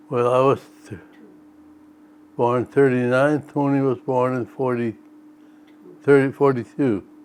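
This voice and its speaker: A man with an American accent speaks at a fairly slow pace and medium pitch, with long, frequent pauses. The intonation is fairly even, and there is noticeable background noise. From North Dakota, US. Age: 80s+. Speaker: elderly farmer recounting family history. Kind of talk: interview.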